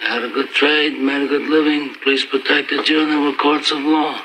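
A man talks at a moderate pace in a monotone, flat intonation over noticeable background noise. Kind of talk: dramatic film dialogue. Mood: quiet, grave, reproachful. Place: office.

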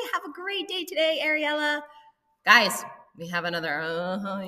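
A woman with an American accent, a playful, upbeat tone and very wide pitch swings over a quiet background. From US. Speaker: school announcer. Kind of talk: school morning announcements. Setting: school PA system. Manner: playful, upbeat, teacherly. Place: office. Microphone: webcam.

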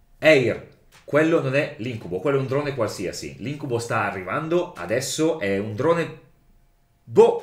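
With audible room echo but a quiet background, a man speaks at a moderate pace in a fairly high voice with vocal fry. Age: 30s. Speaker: role-playing game player. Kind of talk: tabletop role-playing game session. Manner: jokey. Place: home room.

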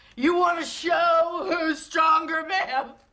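There is a woman speaking in a raised, projected voice. Light background noise is audible behind her. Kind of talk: dramatic film dialogue, heated argument. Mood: bitter, defiant, rising anger. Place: home room.

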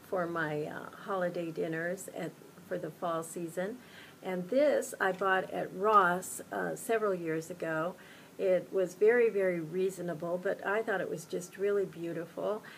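Light background noise sits behind a woman's voice. She talks at a moderate pace with fairly even intonation. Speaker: home decor vlogger. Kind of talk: casual vlog chat. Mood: warm, cheerful. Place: home room. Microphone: webcam.

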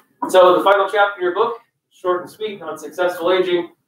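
A man at a fairly quick pace, with audible room echo and light background noise. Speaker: college instructor. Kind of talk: lecture. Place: classroom. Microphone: camera far.

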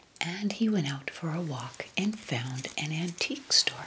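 Noticeable background noise sits behind a woman's voice. She talks fairly slowly at a fairly low pitch. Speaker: lifestyle video host. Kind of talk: casual vlog chat. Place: home room.

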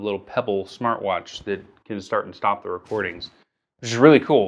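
A man speaks in an unremarkable speaking voice. It sits at a fairly low pitch with fairly even intonation. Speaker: video creator. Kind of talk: casual vlog chat. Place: office.

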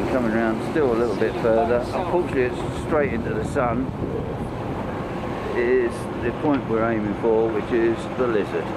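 A man keeps up a fairly quick pace despite loud background noise. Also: ordinary pitch variation. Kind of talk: casual travel narration. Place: boat. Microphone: phone near.

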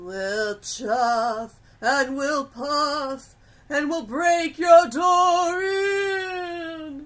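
A put-on character voice, high-pitched and at a very slow pace. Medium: audio drama. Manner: menacing, mischievous.

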